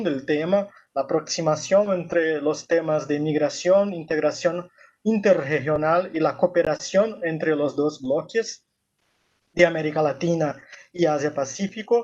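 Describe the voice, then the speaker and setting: At a fairly slow pace, a man with a Brazilian accent speaks in a high pitch with ordinary pitch variation. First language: Portuguese (speaking Spanish). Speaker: university professor and researcher. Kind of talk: academic presentation. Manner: halting, with fillers.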